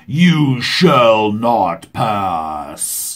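A man bellows in a put-on character voice at a medium pitch. His delivery is booming. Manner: bellowing, booming.

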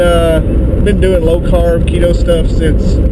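Fairly slow speech from a man over loud background noise. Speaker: diet vlogger. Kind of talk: casual vlog chat. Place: car. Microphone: phone near.

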